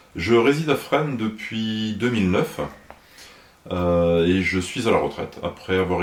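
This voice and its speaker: A man speaks over noticeable background noise. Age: 60s. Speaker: municipal election candidate, retired fire officer. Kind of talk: interview. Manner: hesitant, many filler sounds.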